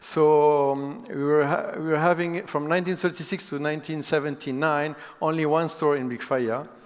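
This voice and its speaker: Audible room echo surrounds a man with a fairly high voice. He talks at a moderate pace with fairly even intonation. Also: hardly any pauses. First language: not English. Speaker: business executive. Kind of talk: keynote talk. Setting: stage with audience. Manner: halting.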